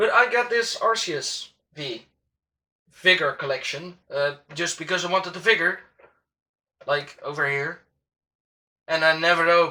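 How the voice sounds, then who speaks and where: In a Dutch accent, the speaker keeps a moderate pace broken by long, frequent pauses. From Netherlands. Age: 20s. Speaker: YouTuber, Pokemon collector. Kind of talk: casual unboxing vlog. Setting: home recording with ring light. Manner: animated.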